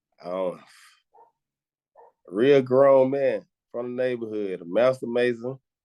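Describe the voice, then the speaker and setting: A man talks in a strong Southern accent with a dark, mellow tone. The sound is dry and close, with no echo. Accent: heavy Southern. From Atlanta, Georgia (Decatur). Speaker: rapper. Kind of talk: interview. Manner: casual, slangy.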